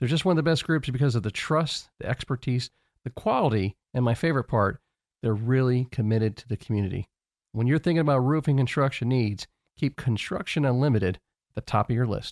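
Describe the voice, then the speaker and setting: This is an unremarkable speaking voice: a man at a medium pitch talking at a fairly quick pace, on a very clean recording with a silent background and a dry, close sound with no echo. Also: ordinary pitch variation, big swings in loudness. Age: 50s. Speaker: podcast host. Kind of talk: interview.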